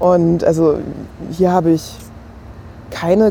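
A woman talks over noticeable background noise. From Germany. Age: 30s. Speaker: museum curator. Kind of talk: casual chat. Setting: kiosk.

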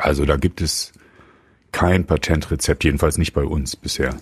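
The speaker is a man whose voice carries vocal fry. His pitch variation is ordinary. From Germany. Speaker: rock musician. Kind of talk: casual chat. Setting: studio.

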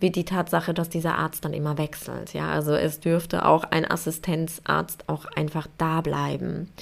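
Heard in a very clean recording with a silent background, a woman speaks with vocal fry at a fairly slow pace. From Poland. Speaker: podcast host. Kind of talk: casual solo monologue.

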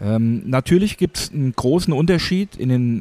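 A man's voice carries a dark, mellow tone with very wide pitch swings. The sound is dry and close, with no echo. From Hesse, Germany. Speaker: works council chairman. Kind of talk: interview. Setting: café.

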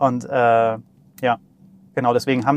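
This man's voice is medium in pitch. He talks with monotone, flat intonation. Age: 40s. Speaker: startup CTO and software developer. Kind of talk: casual technical interview. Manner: hesitant, many filler sounds.

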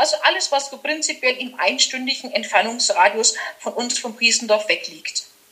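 A raised, projected woman's voice, high in pitch with lively intonation, over noticeable background noise. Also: moderate pace. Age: 40s. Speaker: master florist and decorator. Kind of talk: casual interview chat.

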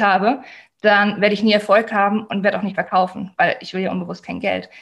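Speaking very fast with vocal fry, a woman delivers her lines at a medium pitch in a monotone, flat intonation. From Germany. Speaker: life coach. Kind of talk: interview.

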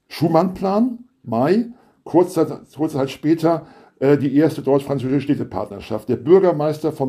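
A man's fairly high voice, dark and mellow in tone, with lively intonation at a moderate pace. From West Germany. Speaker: historian, professor. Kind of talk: interview.

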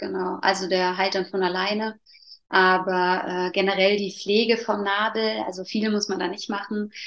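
A woman at medium pitch, moderate pace and monotone, flat intonation. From Allgäu, southern Germany. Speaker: placenta encapsulation practitioner. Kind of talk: interview. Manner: hesitant, many fillers.

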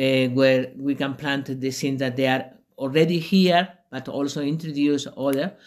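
A man speaks in a fairly high voice with a Spanish accent at a moderate pace. His intonation is flat and monotone, and the recording is very clean with a silent background. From Spain, Extremadura/Andalusia. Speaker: retreat center founder. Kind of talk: interview. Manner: halting.

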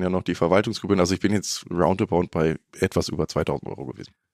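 Set against a silent background in a very clean recording, a man's very deep, low voice shows ordinary pitch variation, the sound dry and close with no echo. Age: 20s. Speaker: trainee motorcycle journalist. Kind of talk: casual chat.

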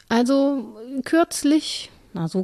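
Somewhat breathy and dark, mellow in tone, a woman is recorded with a dry, close sound, no echo and a quiet background. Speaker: podcast co-host, academic. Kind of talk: casual conversation.

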